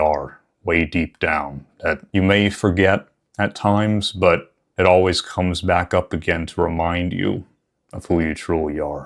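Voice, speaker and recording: The pace is fairly slow. The tone is warm. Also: man, very clean recording, silent background. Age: 30s. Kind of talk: personal reflective talk to camera. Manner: warm, earnest.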